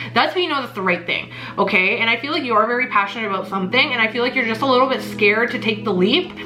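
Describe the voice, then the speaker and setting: Very fast delivery with lively intonation, audible room echo and noticeable background noise. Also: woman, fairly high pitch for a woman. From Mexico. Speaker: tarot reader. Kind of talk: tarot reading. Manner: halting.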